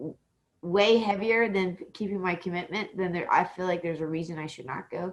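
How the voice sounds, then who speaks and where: With an American accent, a woman talks at a fairly quick pace and a medium pitch with lively intonation. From Texas. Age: young. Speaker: interview show host. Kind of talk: casual interview chat.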